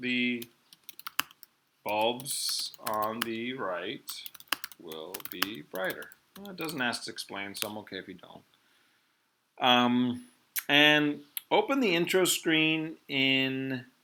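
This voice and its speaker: A medium-pitched man with a non-native accent speaks at a very slow pace, with long, frequent pauses, very wide pitch swings and big swings in loudness. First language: not English. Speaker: physics teacher. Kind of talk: online class lesson. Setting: video call. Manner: hesitant, many fillers.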